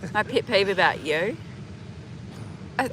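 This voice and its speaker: With a New Zealand accent, a woman talks with ordinary pitch variation. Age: 30s. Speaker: vlogger. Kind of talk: casual chat. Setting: outdoors.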